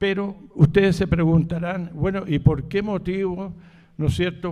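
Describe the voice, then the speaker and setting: Speaking fairly slowly, a man with a high pitch has a dark, mellow tone. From Chile (Santiago). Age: 80s+. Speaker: author. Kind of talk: book presentation talk. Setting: live event with audience. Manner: halting, with fillers and repetitions.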